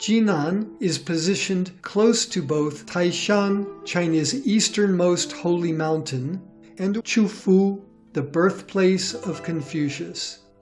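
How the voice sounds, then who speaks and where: Music plays behind a man with a high pitch, speaking at a very slow pace. His pitch variation is ordinary. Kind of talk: educational documentary narration. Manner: clear, measured.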